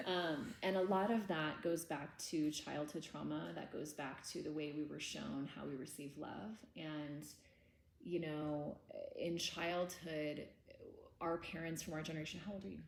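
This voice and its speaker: Audible room echo surrounds a woman with a very deep, low voice. She speaks fairly slowly with ordinary pitch variation. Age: 30s. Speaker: trauma workshop teacher. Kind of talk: lecture. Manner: casual.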